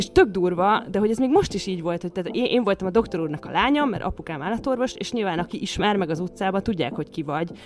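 A woman's medium-pitched voice at a very fast pace, with lively intonation, hardly any pauses and noticeable background noise. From western Hungary, Sopron county village. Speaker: podcast co-host. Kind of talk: casual chat.

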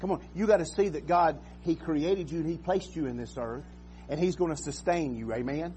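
A man speaking at a fairly quick pace over background music. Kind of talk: sermon. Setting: church. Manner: earnest, exhortative, repeatedly addressing the congregation with 'you and I'; halting, with filler words and repeated phrases.

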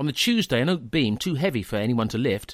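An ordinary speaking voice from a man, medium in pitch, fairly quick, with lively intonation. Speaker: podcast narrator.

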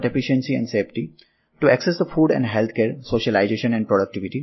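Somewhat breathy and medium in pitch, a man speaks at a very fast pace with lively intonation. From India, Gujarat (Ahmedabad). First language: Gujarati. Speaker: software developer. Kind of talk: interview answers, apparently prepared. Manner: formal.

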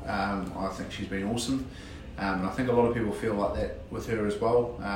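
With a New Zealand accent, a man talks at a moderate pace with ordinary pitch variation, amid noticeable background noise and audible room echo. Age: 30s. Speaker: police detective, contest winner. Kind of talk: interview. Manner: halting, many fillers.

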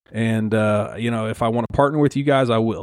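A man with a normal speaking voice, medium pitch and ordinary pitch variation, in a very clean recording with a silent background and a dry, close sound with no echo. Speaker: podcast host. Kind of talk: solo podcast rant. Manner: ranting, worked-up, blunt; conversational, casual.

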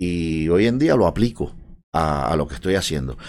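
A man's voice with vocal fry. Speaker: tech coworking space co-founder. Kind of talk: casual interview.

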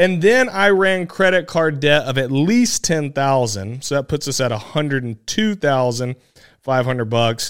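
With an American accent, a man talks at a fairly slow pace in a normal speaking voice, his pitch fairly high and his intonation lively, on a very clean recording with a silent background. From South Carolina. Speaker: podcast host, real estate investor. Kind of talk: solo podcast monologue.

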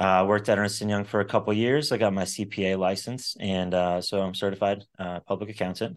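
A man with an American accent talks at a very fast pace with hardly any pauses, his pitch fairly low. His intonation stays fairly even, and the background is quiet. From Florida (Sarasota). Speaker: entrepreneur. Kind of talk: interview. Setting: podcast recording.

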